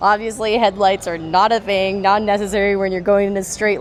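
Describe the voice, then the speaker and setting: A woman with an American accent talks at a very fast pace in an animated tone at medium pitch, with noticeable background noise behind her. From US Northeast, New York. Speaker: off-road vlogger. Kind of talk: casual vlog walkthrough. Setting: outdoors at an off-road expo.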